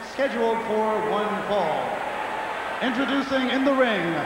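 The speech moves at a very slow pace. Audible room echo and noticeable background noise fill the recording. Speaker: ring announcer. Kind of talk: formal ring introductions. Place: stadium.

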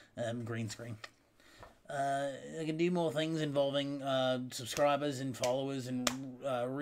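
The speech comes at a moderate pace with fairly even intonation over noticeable background noise. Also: man. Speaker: gaming streamer. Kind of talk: casual video monologue. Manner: unscripted, rambling. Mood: calm, slightly apologetic. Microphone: webcam.

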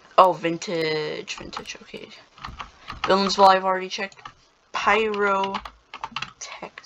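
The speech moves at a fairly slow pace with long, frequent pauses, and noticeable background noise runs underneath. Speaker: gaming YouTuber. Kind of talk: gameplay commentary. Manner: hesitant, many fillers.

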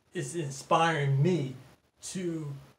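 A man speaks with a fairly high pitch and fairly even intonation. Audible room echo surrounds his voice. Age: 50s. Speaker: pastor. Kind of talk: casual chat. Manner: halting. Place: home room.

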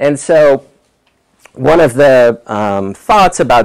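A man's fairly slow delivery with ordinary pitch variation, against a quiet background. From New York. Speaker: environmental epidemiologist. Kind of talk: lecture. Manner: halting, many fillers. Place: classroom.

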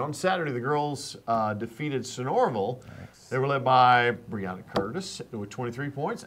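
Light background noise sits under a man who keeps a moderate pace. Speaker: announcement co-host. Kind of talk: school news announcements. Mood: light, joking. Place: studio.

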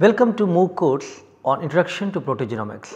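A man uses lively intonation at a moderate pace, and the background stays quiet. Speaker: course instructor introducing lectures. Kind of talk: scripted course introduction. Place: studio. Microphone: lapel.

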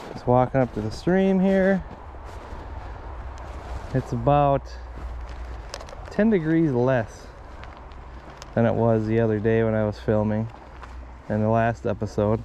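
Speech comes at a fairly slow pace with long, frequent pauses, light background noise and a dry sound with no echo. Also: man. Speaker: angler vlogger. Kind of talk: casual vlog chat. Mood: relaxed, mildly upbeat. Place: open country.

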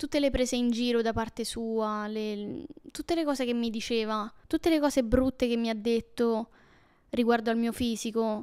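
Against a quiet background, a woman with a fairly high pitch speaks at a moderate pace with ordinary pitch variation. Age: 20s. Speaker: YouTuber. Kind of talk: casual personal storytelling monologue. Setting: at home alone. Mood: intimate, reflective, somewhat emotional. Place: home room. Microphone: handheld.

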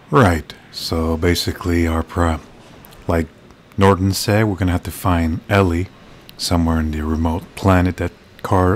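A man with a very deep, low pitch speaks at a moderate pace with fairly even intonation and long, frequent pauses. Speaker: gaming YouTuber. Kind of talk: video game playthrough commentary. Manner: halting, stumbling over words.

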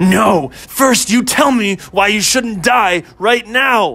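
In a put-on character voice, a man growls at a high pitch and a very slow pace. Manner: cackling, growling, menacing.

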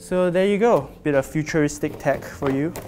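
A man at a moderate pace, ordinary pitch variation, faint music behind him. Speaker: product reviewer. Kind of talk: unboxing commentary. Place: office. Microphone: lapel.

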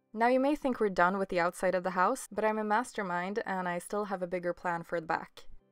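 Music in the background under a woman's medium-pitched voice, very fast and with hardly any pauses, with ordinary pitch variation. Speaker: crafting channel creator. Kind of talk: tutorial voiceover.

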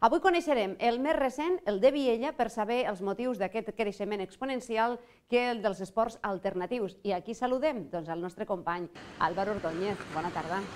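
Faint music plays in the background as a woman speaks at a moderate pace. Her fairly high voice has lively intonation. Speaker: TV presenter. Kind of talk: TV magazine presenting. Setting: studio. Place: studio. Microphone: lapel.

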